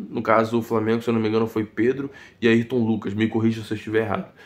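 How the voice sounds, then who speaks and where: A soft-spoken man at a medium pitch on a very clean recording with a silent background. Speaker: football YouTuber. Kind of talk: post-match commentary vlog. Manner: soft-spoken, talking quietly.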